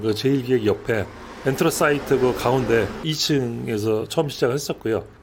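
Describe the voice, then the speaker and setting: A man with a medium-pitched voice talks fairly quickly, and noticeable background noise is present. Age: 60s. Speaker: cafe owner and barista. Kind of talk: interview. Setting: in a cafe. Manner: hesitant with frequent fillers.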